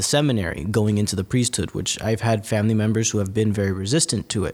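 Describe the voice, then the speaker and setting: A man with an American accent uses a normal speaking voice at a fairly low pitch with ordinary pitch variation, in a very clean recording with a silent background. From North Jersey, West New York. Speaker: seminarian. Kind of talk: casual interview. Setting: recording on the road at a seminary.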